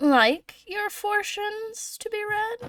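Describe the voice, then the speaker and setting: A woman uses a put-on character voice, squeaky and extremely high-pitched with cackling. She speaks at a very slow pace. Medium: actual play. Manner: cackling, mysterious.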